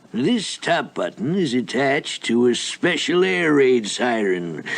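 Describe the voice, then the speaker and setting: In a cartoonish character voice, a man speaks at a very slow pace. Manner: pompous, gloating.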